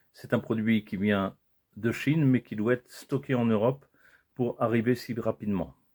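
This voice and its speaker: A man at a medium pitch and moderate pace with ordinary pitch variation and a dry, close sound with no echo. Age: 60s. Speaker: product reviewer. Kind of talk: product unboxing video. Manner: casual, hesitant with repetitions.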